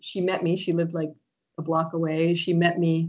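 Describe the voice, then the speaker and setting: In a Maine accent, a woman with a fairly low voice speaks at a moderate pace. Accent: Maine New England American. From Maine, US. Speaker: author and writing teacher. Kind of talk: interview conversation.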